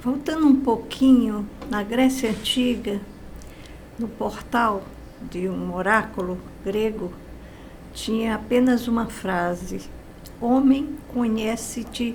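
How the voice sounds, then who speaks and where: Audible room echo surrounds a woman speaking at a fairly high pitch. She talks very slowly with ordinary pitch variation. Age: 80s+. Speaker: positive-thinking teacher. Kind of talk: interview.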